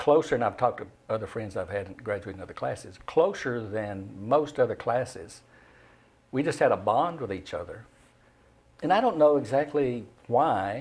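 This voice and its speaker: Somewhat breathy, a man speaks with lively intonation and big swings in loudness. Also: medium pitch for a man, moderate pace. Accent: Southern US. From Middle Tennessee, Cookeville. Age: 80s+. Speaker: retired newspaper journalist. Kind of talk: casual interview chat. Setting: studio.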